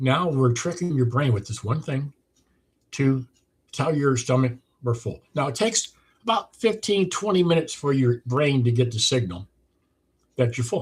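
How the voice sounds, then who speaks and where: Lively intonation at a moderate pace, somewhat breathy, with long, frequent pauses. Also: man, medium pitch for a man. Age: 70s. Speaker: weight loss program creator. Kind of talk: monologue sales pitch. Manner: casual, repetitive with false starts.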